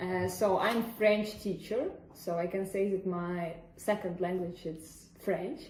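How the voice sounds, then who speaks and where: Fairly slow delivery with fairly even intonation and audible room echo. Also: woman, medium pitch for a woman. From Ukraine (Odessa). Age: 20s. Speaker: French teacher. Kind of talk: interview. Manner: halting.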